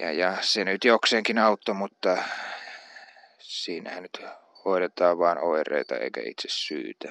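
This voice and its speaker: Recorded dry and close with no echo, a man talks at a very slow pace, his loudness swinging widely. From Central Finland (Uurainen, near Jyväskylä). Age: 30s. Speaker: aspiring politician. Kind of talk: personal monologue. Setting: outdoors in yard. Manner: halting, many fillers.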